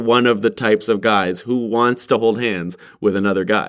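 At a moderate pace and medium pitch, a man speaks on a very clean recording with a silent background. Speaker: vlogger. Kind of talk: personal monologue. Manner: conventionally masculine speech.

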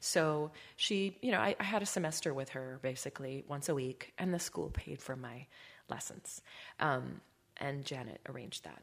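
In an Upper Midwest accent, a woman talks at a moderate pace with a very deep, low pitch and lively intonation. The recording is very clean, with a silent background. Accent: Upper Midwest American. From Wisconsin, small town. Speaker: singer and stage actress. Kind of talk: casual interview chat.

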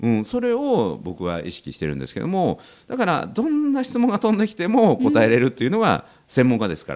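A man at a fairly quick pace, hardly any pauses, and big swings in loudness. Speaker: praise coaching expert and association head. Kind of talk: casual chat. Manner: fast.

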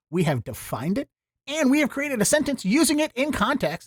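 With an American accent, a man speaks with very wide pitch swings in a dry, close recording with no echo. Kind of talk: casual chat. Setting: video call.

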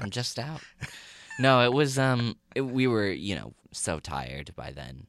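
The voice has vocal fry. The recording is very clean, with a silent background. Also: man. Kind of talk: casual interview chat. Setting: studio. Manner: halting, hesitant.

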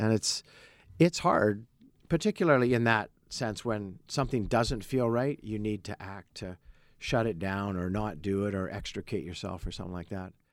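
Using an ordinary speaking voice with a Canadian accent, a man talks at a moderate pace and fairly low pitch, with ordinary pitch variation and big swings in loudness. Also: very clean recording, silent background. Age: 60s. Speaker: former bank CEO. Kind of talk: interview conversation. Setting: studio.

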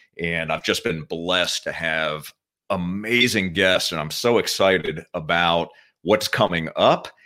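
A very deep, low-pitched man's voice, upbeat and enthusiastic in tone, with ordinary pitch variation. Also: fairly slow pace, very clean recording, silent background. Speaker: podcast host. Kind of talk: interview chat. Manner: upbeat, enthusiastic.

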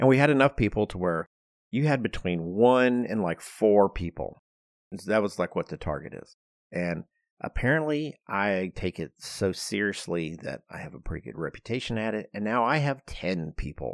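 A man has a normal speaking voice, fairly low in pitch, with lively intonation, big swings in loudness and a moderate pace. The recording is very clean with a silent background, and the sound is dry and close with no echo. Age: 50s. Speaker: architect and podcast host. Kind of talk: casual chat.

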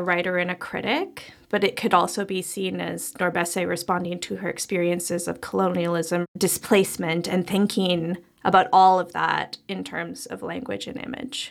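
With vocal fry and a medium pitch, a woman speaks at a moderate pace with hardly any pauses. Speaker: podcast co-host, art critic. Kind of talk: casual conversation and interview.

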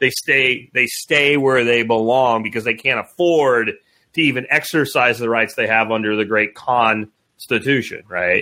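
Over a very clean recording with a silent background, a man with a bright, sharp tone talks at a fairly slow pace, his loudness very even and his pitch varying in an ordinary way. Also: medium pitch for a man. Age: 50s. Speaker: podcast co-host. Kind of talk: casual chat.

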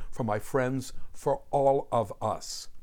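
With an American accent, a man is speaking. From New Jersey, US (South Jersey suburbs). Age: 60s. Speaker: music historian and podcast host. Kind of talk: scripted narration. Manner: animated.

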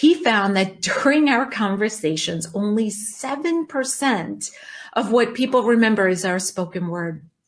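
At a fairly slow pace, a woman uses an ordinary speaking voice with fairly high pitch and lively intonation. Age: 50s. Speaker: life coach podcast host. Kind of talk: solo podcast monologue.

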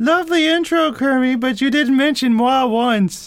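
A man uses a put-on character voice in falsetto, reaching an extremely high pitch. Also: moderate pace.

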